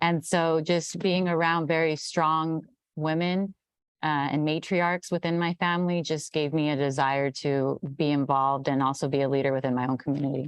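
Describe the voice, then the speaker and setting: Speaking with an American accent, a woman with a very deep, low voice keeps a moderate pace, very even loudness and fairly even intonation. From Central Valley, California. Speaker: political party staffer. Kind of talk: panel discussion.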